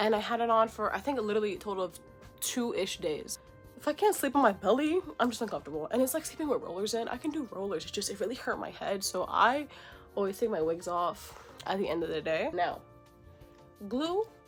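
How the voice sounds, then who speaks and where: Over music in the background, a woman speaks very fast with very wide pitch swings. Her pauses are long and frequent. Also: fairly high pitch for a woman. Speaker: beauty vlogger. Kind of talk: tutorial. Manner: casual.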